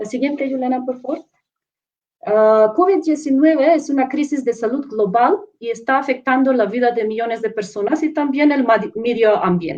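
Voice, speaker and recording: Moderate-paced speech from a woman, high in pitch, its pitch varying in an ordinary way. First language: not Spanish (speaking Spanish). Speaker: professor and researcher. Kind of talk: panel presentation. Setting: live online stream. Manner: halting, with fillers and self-corrections.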